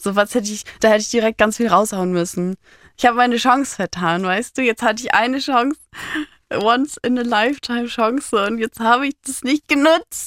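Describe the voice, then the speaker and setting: A woman speaks at a high pitch and moderate pace with ordinary pitch variation and big swings in loudness, recorded very cleanly with a silent background and a dry, close sound with no echo. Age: 20s. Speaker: interviewee telling personal story. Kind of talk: emotional personal interview. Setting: podcast studio. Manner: animated.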